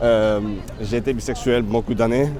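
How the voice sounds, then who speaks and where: With audible room echo and noticeable background noise, a man speaks at a medium pitch with monotone, flat intonation. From Spain, Catalonia (Barcelona). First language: Spanish/Catalan (speaking French). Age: 30s. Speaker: festival worker interviewed on the street. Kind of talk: street interview. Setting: outdoors in Paris near a landmark. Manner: halting.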